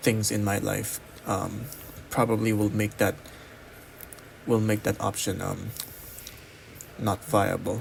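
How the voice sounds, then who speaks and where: With noticeable background noise behind him, a man with a non-native accent talks at a fairly slow pace in a fairly low pitch. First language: not English. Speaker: college student. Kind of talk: personal vlog monologue. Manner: halting, many pauses.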